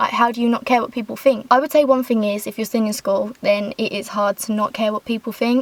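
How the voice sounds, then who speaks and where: A woman's high voice in an English accent, very fast in pace and fairly even in intonation, over noticeable background noise. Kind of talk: casual talk to camera while driving. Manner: chatty.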